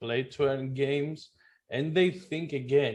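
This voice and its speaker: A fairly high-pitched man with a non-native accent and fairly even intonation. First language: not English. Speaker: blockchain gaming website co-founder. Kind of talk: interview. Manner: halting, many restarts.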